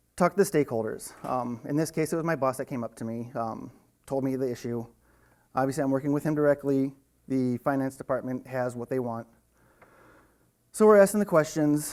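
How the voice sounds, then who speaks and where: The speaker moves at a fairly quick pace but takes long, frequent pauses. Pitch variation is ordinary. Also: man, medium pitch for a man. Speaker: IT automation engineer, conference speaker. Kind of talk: conference talk. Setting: stage with audience. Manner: hesitant, many fillers.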